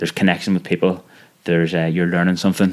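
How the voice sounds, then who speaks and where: A man talks with a very deep, low pitch. His intonation stays monotone and flat. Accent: Belfast. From Northern Ireland, West Belfast. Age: 30s. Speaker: podcast host. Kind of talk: interview conversation.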